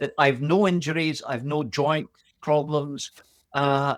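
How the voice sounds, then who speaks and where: A man with an Aberdeen accent, fairly high pitch and a fairly slow pace, in a dry, close sound with no echo. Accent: Scottish (Aberdeen). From Aberdeen, Scotland. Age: 70s. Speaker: boxer. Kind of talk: interview answer.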